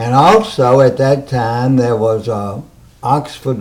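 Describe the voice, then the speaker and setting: With a Mississippi accent, a man talks at a medium pitch in a dark, mellow tone and fairly even intonation. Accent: US Southern, Mississippi. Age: 80s+. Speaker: interviewee. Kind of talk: oral history interview.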